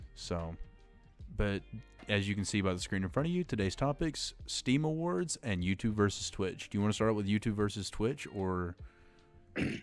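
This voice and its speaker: Music in the background under a man's fairly low voice, lively in intonation and moderate in pace. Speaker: podcast host. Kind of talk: casual podcast conversation.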